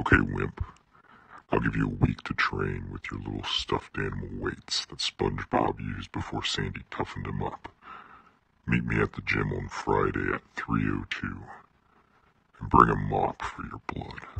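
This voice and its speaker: Putting on a character voice, a man speaks at a moderate pace in a very deep, low, raspy register. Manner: cocky, menacing.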